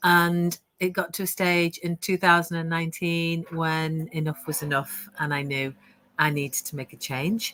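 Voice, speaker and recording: Her pitch is fairly low, with fairly even intonation. This woman has a bright, sharp tone and a British accent. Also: moderate pace. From United Kingdom. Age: 60s. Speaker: online business coach. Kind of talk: interview testimony.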